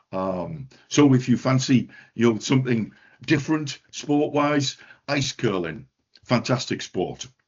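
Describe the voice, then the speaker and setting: A man speaks in a northeast English accent. He keeps a fairly slow pace. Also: medium pitch for a man, ordinary pitch variation. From northeast England. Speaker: education centre director. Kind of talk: webinar presentation. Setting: online webinar. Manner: hesitant, many fillers.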